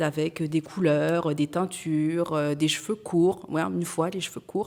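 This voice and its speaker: A woman's fairly low voice with fairly even intonation, amid noticeable background noise. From France. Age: 40s. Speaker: entrepreneur. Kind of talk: testimony. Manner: hesitant, frequent fillers.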